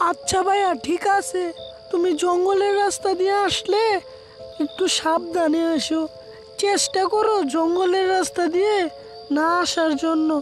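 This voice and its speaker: Clear music plays behind a woman doing a cartoonish character voice at an extremely high pitch, moving at a fairly slow pace with ordinary pitch variation. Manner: anxious, protective.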